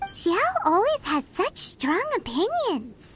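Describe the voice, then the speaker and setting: Music plays in the background as a squeaky, put-on character voice at an extremely high pitch makes very wide pitch swings at a fairly slow pace. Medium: video game. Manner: chatty, cheeky.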